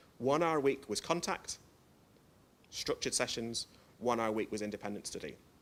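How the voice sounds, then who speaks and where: With a northern English accent, a man of medium pitch speaks at a fairly quick pace with lively intonation and long, frequent pauses. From northern England. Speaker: educational developer, conference speaker. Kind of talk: conference presentation. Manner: fast; hesitant, many fillers.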